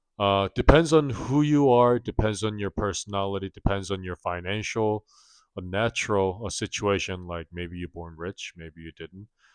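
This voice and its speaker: A man's fairly low voice with a non-native accent, dry and close with no echo, ordinary pitch variation, a moderate pace and big swings in loudness, on a very clean recording with a silent background. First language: not English. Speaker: personal finance vlogger. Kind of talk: casual vlog monologue. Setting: home, late night filming. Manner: halting, many fillers.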